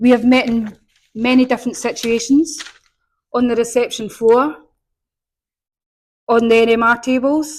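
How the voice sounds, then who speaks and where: Speaking with a strong Scottish accent, a woman uses a high pitch at a fairly slow pace. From Scotland. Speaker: patient. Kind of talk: speech.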